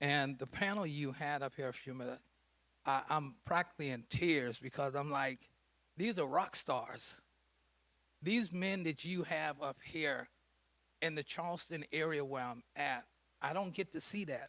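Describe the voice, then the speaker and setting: Using a bright, sharp tone and fairly high pitch, a man talks at a moderate pace with ordinary pitch variation and long, frequent pauses. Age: 60s. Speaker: prostate cancer survivor and health educator. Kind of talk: panel talk at a health event.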